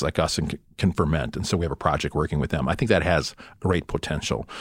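This man's voice sits very deep and low, with vocal fry. His pitch moves with ordinary variation. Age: old. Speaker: biofuel company executive. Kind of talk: interview.

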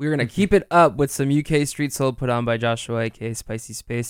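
Speaking in a normal speaking voice, a man keeps a medium pitch and a moderate pace while his pitch rises and falls in an ordinary way. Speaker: radio host. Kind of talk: radio DJ patter, casual on-air chat. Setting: radio studio. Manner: relaxed, friendly, conversational; gentle, warm and upbeat, fillers like 'uh'.

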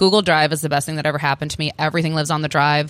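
A woman with an American accent speaks very fast at a very deep, low pitch in a monotone, flat way. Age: 30s. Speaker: vegan restaurant chef and owner. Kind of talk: interview conversation.

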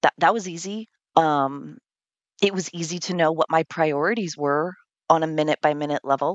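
A woman with an American accent talks at a fairly low pitch and a moderate pace, with ordinary pitch variation. It is an unremarkable speaking voice. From California. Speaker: death coach. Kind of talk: interview.

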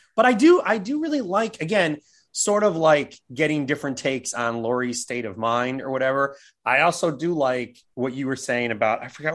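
A man with an American accent and a normal speaking voice talks at a fairly quick pace and medium pitch with lively intonation. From California. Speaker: film podcaster. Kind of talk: casual chat.

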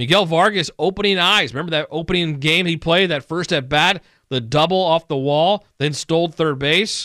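A man with a high pitch, upbeat tone and ordinary pitch variation, at a moderate pace with hardly any pauses, in a dry, close sound with no echo. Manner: brisk, upbeat, conversational broadcaster patter.

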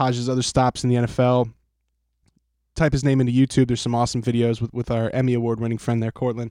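Against a quiet background, a man with a dark, mellow tone and medium pitch talks at a very fast pace, the sound dry and close with no echo. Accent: American. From Philadelphia, US. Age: 30s. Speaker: podcast host. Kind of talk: casual chat.

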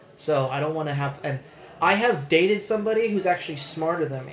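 Over noticeable background noise, the speech runs at a fairly quick pace. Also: man. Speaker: podcast co-host. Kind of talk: casual, profane. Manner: casual, conversational.

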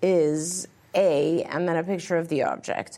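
A woman speaks in a very clean recording over a silent background. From England. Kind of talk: live Q&A advice show. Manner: frequent fillers and hesitations.

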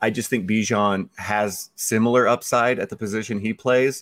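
A man speaks at a fairly slow pace in a fairly low pitch with fairly even intonation, in an ordinary speaking voice. The recording is very clean with a silent background and a dry, close sound with no echo. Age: 40s. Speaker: fantasy football analyst. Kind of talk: casual chat.

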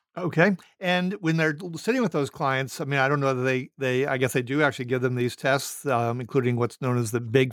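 On a very clean recording with a silent background, a man talks at a fairly quick pace and medium pitch. He has an unremarkable speaking voice with ordinary pitch variation. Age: 60s. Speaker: podcast host, former professor. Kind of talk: interview.

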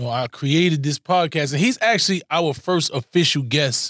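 Recorded very cleanly against a silent background, with a dry, close sound and no echo, a man talks in a normal speaking voice at a moderate pace with ordinary pitch variation. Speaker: podcast co-host. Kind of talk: casual chat.

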